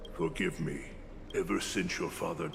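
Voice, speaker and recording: A man puts on a character voice while loud background noise plays behind him. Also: moderate pace. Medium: video game.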